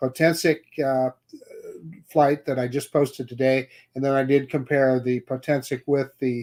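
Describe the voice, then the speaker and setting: A man speaks at medium pitch and a moderate pace, with monotone, flat intonation. The sound is dry and close with no echo. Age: 60s. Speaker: drone show co-host. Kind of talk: casual chat.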